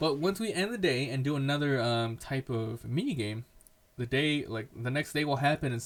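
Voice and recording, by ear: Reading aloud, the speaker uses a natural voice.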